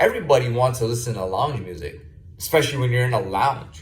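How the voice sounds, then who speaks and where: A man at medium pitch talks at a fairly quick pace with lively intonation and a somewhat breathy sound, with audible room echo around him. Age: 30s. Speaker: video blogger. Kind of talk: casual monologue. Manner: halting, many repetitions and fillers.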